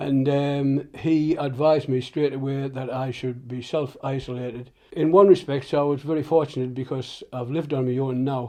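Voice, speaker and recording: Speaking in a monotone, flat delivery, a man has a dark, mellow tone. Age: 70s. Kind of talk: interview answer. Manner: hesitant.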